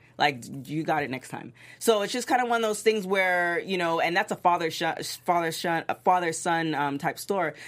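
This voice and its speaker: On a very clean recording with a silent background, a woman talks in an ordinary speaking voice at a fairly quick pace, fairly low in pitch and with lively intonation. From Toronto, Canada. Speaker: TV recap panelist. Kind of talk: casual panel discussion.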